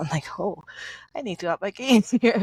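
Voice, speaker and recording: A woman with a Mandarin accent speaks at a fairly quick pace with ordinary pitch variation on a very clean recording with a silent background. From Canada, after early childhood in Taiwan. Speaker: podcast guest, mother. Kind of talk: casual chat.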